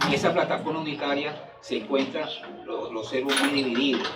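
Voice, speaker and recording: Music plays in the background with audible room echo. A man with a fairly high voice speaks at a moderate pace. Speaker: party member speaker. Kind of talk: speech at political event. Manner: halting.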